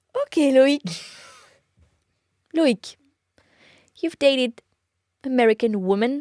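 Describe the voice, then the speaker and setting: In a French accent, a woman speaks very slowly with long, frequent pauses, her high voice dark, mellow and playful in tone, with ordinary pitch variation and a dry, close sound with no echo. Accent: cute little French. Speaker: podcast co-host. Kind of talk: casual chat.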